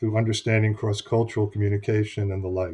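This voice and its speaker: There is a man with an American accent at a medium pitch, somewhat breathy. The background is quiet. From United States. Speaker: business consultant and author. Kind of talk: interview.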